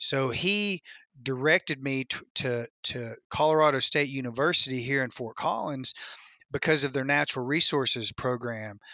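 Against a quiet background, a man with a bright, sharp tone speaks at a medium pitch and moderate pace, with ordinary pitch variation and a dry, close sound with no echo. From West Tennessee. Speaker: video producer and outdoorsman. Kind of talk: casual interview chat.

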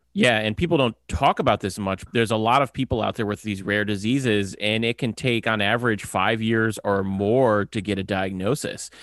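With a plain, everyday voice, a man speaks at a moderate pace and a fairly low pitch, his intonation fairly even and hardly any pauses, in a very clean recording with a silent background and a dry, close sound with no echo. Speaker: podcast producer. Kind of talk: casual chat.

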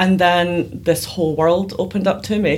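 A woman's medium-pitched voice with vocal fry and a Glaswegian accent. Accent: Glaswegian Scottish. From Scotland, Glasgow. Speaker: PR consultant. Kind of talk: interview conversation.

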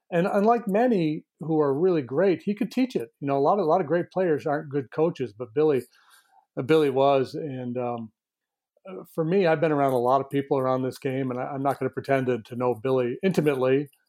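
Speaking at a fairly quick pace, a man uses an ordinary speaking voice with fairly high pitch and ordinary pitch variation. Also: very clean recording, silent background. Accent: American. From northern New York. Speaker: sports broadcaster and co-host. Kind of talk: podcast interview.

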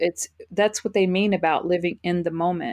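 A woman with a fairly low pitch talks in an ordinary speaking voice at a moderate pace. Her intonation is fairly even, and the sound is dry and close with no echo. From Texas, Fort Worth. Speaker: spiritual life coach. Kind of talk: interview.

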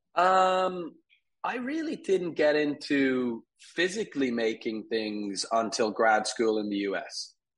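A man's fairly high voice with an American accent, very wide pitch swings and a very slow pace against a quiet background. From Dublin, Ireland. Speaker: furniture company CEO. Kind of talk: casual interview.

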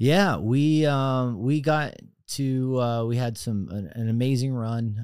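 Over a silent background in a very clean recording, a man with an unremarkable speaking voice and an American accent talks at a fairly slow pace with ordinary pitch variation. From Texas, Dallas area. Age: 40s. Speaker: cybersecurity entrepreneur. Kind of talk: casual interview.

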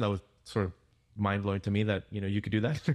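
A man talks with a Spanish accent in a very clean recording with a silent background. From Peru. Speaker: pastor. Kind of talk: casual interview.

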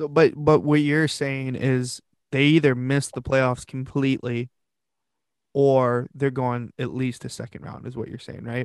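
Speaking at a fairly slow pace and medium pitch, a man makes big swings in loudness. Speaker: podcast host. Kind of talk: casual chat. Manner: animated.

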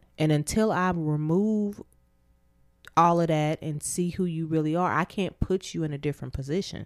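In an ordinary speaking voice, a woman talks at a moderate pace with fairly low pitch and fairly even intonation, on a very clean recording with a silent background. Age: 30s. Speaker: therapist and podcast co-host. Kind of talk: casual chat.

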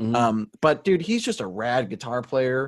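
Against a quiet background, a man with a plain, everyday voice speaks at medium pitch and a moderate pace. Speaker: band singer. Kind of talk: casual chat. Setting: video call.

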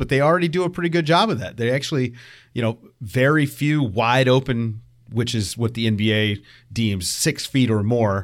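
A man with an American accent and an unremarkable speaking voice talks at a moderate pace with ordinary pitch variation, on a very clean recording with a silent background. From Virginia, US (Richmond). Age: 30s. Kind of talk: casual chat. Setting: internet call.

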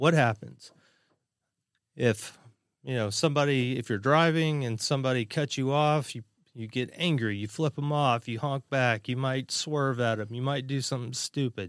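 An ordinary speaking voice from a man at medium pitch, moderate pace and ordinary pitch variation, on a very clean recording, silent background. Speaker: podcast host. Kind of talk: casual chat.

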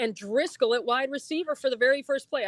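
A woman with an ordinary speaking voice talks at a moderate pace. Her pitch varies normally, and the sound is dry and close with no echo. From upstate New York. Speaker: TV sports director. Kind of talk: casual interview.

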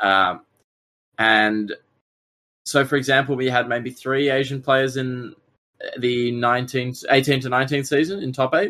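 At a very slow pace with long, frequent pauses, a man with an Australian accent speaks in a bright, sharp tone and fairly even intonation. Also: medium pitch for a man. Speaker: Pokemon card player. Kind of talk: casual chat. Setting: live stream.

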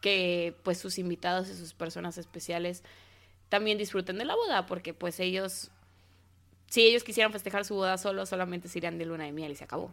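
Recorded very cleanly with a silent background, a woman's medium-pitched voice has a bright, sharp tone. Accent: Mexico City. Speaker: wedding planner. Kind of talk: interview.

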